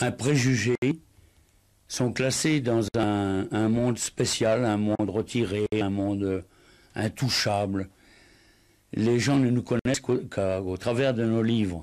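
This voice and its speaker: Very slowly, with long, frequent pauses, a man speaks at a medium pitch with fairly even intonation and very even loudness. The recording is very clean, with a silent background. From French Ardennes. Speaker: writer. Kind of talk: interview answer.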